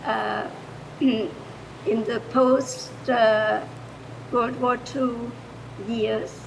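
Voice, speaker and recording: A woman with a German accent is heard with noticeable background noise and audible room echo. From Germany. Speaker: retired foreign language teacher. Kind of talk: improvised public comment.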